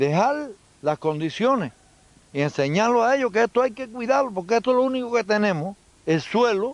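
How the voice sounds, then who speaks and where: A man speaks at a fairly quick pace, his pitch making very wide swings. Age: 70s. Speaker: farmer. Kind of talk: interview.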